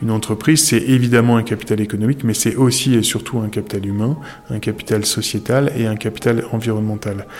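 Noticeable background noise sits behind a man speaking at a fairly quick pace. His pitch is medium and his intonation fairly even. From northern France. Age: 40s. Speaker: entrepreneur. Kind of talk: interview.

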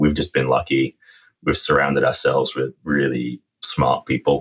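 The man talks with an English accent in a dry, close sound with no echo. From England. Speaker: lithium company executive. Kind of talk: interview.

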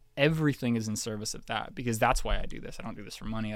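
A man with an ordinary speaking voice, medium pitch and ordinary pitch variation, on a very clean recording with a silent background. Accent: Canadian. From Canada, small-town Ontario. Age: 20s. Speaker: pop singer-songwriter. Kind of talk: casual interview conversation.

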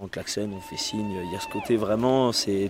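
A man's voice with noticeable background noise. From Beaujolais, France. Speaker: winegrower's family, grape carrier. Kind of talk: interview. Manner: halting.

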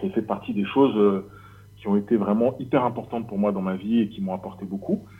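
Speaking at a moderate pace, a man uses a plain, everyday voice with ordinary pitch variation. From Paris region, France. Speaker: leather craftsman. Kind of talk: casual interview.

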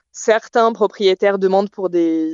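This is an unremarkable speaking voice at a fairly slow pace. The intonation stays fairly even. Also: woman. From southern France, Provence (Bouches-du-Rhône). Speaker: expat interviewee. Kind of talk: interview conversation. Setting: Skype call.

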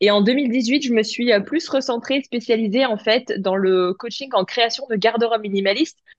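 A woman speaks with a fairly high pitch and ordinary pitch variation. It is a normal speaking voice. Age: 30s. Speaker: image consultant and clothing brand founder. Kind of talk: casual interview chat.

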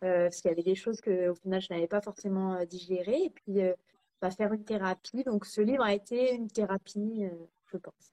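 A dark, mellow tone with fairly even intonation comes at a moderate pace, the sound dry and close with no echo. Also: woman. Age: 30s. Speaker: cancer survivor and author. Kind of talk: casual interview. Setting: live video stream.

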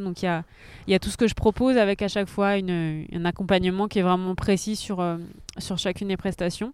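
Against a silent background in a very clean recording, a woman talks at a fairly quick pace with medium pitch and fairly even intonation. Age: 30s. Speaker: photographer. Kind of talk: casual chat. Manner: halting.

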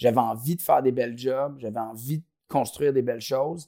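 A man with a Quebec accent talks at a moderate pace and medium pitch. The recording is very clean, with a silent background. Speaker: company co-founder. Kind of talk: interview. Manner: halting, many repetitions and fillers.

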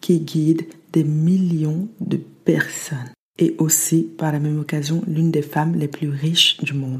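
A woman's somewhat breathy voice, fairly low in pitch, at a fairly slow pace. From France, arrived from the US at age 8. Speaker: podcast host and motivation coach. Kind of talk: motivational monologue.

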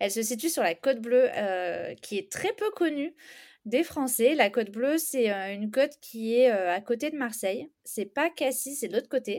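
The recording is very clean, with a silent background. The speech is fairly slow with lively intonation. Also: woman, high pitch for a woman. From southern France, Istres near Aix-en-Provence. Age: 30s. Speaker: home renovator. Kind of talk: casual interview. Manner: hesitant, many fillers.

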